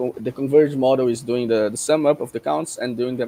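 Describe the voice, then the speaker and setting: Fairly even intonation from a man, his tone dark and mellow. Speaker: conference presenter. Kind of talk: academic presentation. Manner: fast.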